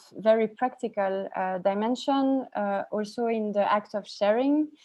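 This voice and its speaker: A woman speaks with a non-native accent. Her pitch is fairly high. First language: not English. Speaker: graphic designer and researcher hosting a talk. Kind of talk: online talk presentation. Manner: halting, many fillers.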